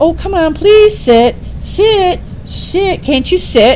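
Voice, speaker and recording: A put-on character voice, whiny and pitched extremely high, drawn out at a very slow pace. Background noise is clearly audible. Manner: begging, pleading.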